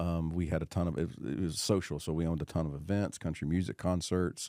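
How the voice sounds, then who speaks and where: The speaker, with a Tennessee accent, talks at a fairly quick pace with fairly even intonation. The recording is very clean with a silent background and a dry, close sound with no echo. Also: man. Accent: Southern US (Tennessee). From US South, Knoxville, Tennessee. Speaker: real estate professional, former college football player. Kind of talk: casual chat.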